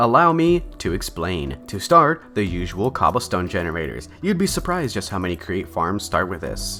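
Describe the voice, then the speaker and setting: Background music plays while the man keeps a moderate speed. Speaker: gaming YouTuber. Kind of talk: gameplay voiceover narration.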